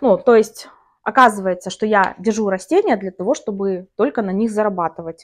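Her pace moderate, a woman talks with ordinary pitch variation. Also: medium pitch for a woman. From Karachay-Cherkessia, North Caucasus, Russia. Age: 30s. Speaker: plant-hobby video blogger. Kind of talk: casual vlog monologue. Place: home room. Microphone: lapel.

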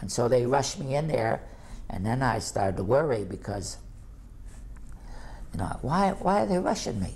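With vocal fry and a slightly mellow tone, a man speaks at a medium pitch and moderate pace, his pitch swinging widely between long, frequent pauses.

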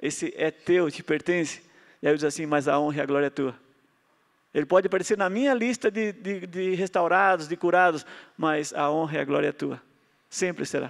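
Against a quiet background, a man speaks at a fairly quick pace with long, frequent pauses. His pitch is high. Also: ordinary pitch variation. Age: 50s. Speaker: health lecturer. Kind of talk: lecture. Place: stage. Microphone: handheld.

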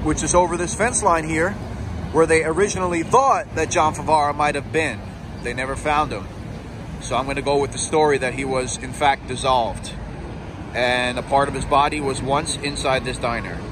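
A man at a moderate pace with ordinary pitch variation, in a dry sound with no echo and noticeable background noise. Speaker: true crime tour guide. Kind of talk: commentary. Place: street. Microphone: phone near.

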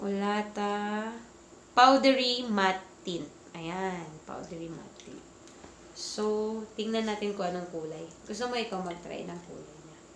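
A woman speaks at a fairly slow pace, leaving long, frequent pauses. There is audible room echo and light background noise. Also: ordinary pitch variation, big swings in loudness. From Philippines. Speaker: vlogger. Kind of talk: casual vlog chat. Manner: animated. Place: home room. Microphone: phone near.

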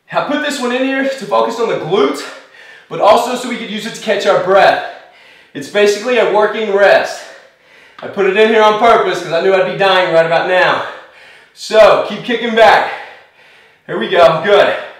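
Long, frequent pauses and ordinary pitch variation, with audible room echo. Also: man, high pitch for a man, moderate pace. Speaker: fitness instructor. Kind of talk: workout instruction. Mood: upbeat, laughing. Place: studio.

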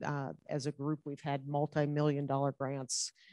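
Over a quiet background, a woman with a very deep, low pitch talks at a moderate pace in a dry sound with no echo. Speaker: department head on a panel. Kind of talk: panel introduction. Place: hall.

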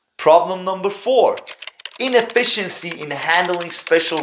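A man's fairly high, fairly bright voice with lively intonation, at a fairly slow pace

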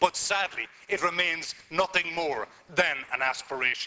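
Ordinary pitch variation in a man's speech. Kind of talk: parliamentary speech. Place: hall. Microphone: podium.

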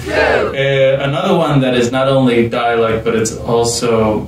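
Noticeable background noise fills the recording, along with audible room echo. Through it, a man talks. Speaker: language school director. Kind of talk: casual talk to camera. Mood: friendly, smiling. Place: meeting room.

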